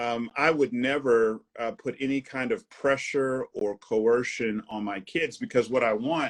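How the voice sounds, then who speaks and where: At a fairly slow pace with hardly any pauses, a man talks in a plain, everyday voice of medium pitch and ordinary pitch variation, the sound dry and close with no echo. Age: 40s. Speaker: pastor and author. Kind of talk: casual chat.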